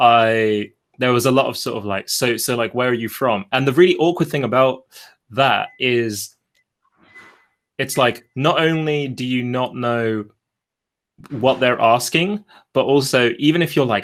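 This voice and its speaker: A man with a British accent talks at a fairly slow pace, leaving long, frequent pauses. His pitch sits in the medium range and moves in an ordinary way. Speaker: video creator. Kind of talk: casual chat.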